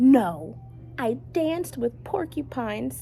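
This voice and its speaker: Using a put-on character voice, a woman speaks at a fairly slow pace over clear background noise. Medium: read story. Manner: gentle, kind.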